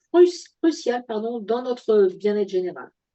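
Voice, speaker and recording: This woman's high-pitched voice carries lively intonation. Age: 60s. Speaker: product presenter. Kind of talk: sales pitch. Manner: halting, many fillers.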